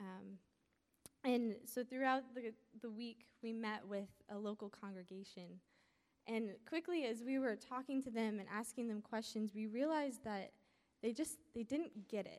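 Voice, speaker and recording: At a moderate pace, a woman with a normal speaking voice and a fairly high pitch uses ordinary pitch variation. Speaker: college student. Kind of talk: testimony. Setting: stage with audience.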